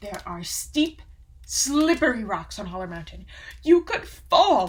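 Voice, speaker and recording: A put-on character voice is pitched fairly high. It moves at a fairly slow pace. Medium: read story. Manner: worried, careful.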